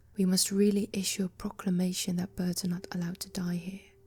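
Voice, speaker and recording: A soft-spoken woman talks in a dark, mellow tone. Her voice is somewhat breathy, with monotone, flat intonation. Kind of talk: ASMR book reading. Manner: soft-spoken, relaxing.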